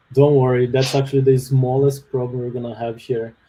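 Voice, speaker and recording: A man with a Brazilian accent at medium pitch, in a monotone, flat intonation. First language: Portuguese. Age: 30s. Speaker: software developer. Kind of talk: webinar interview. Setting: live online webinar. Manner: hesitant, many fillers.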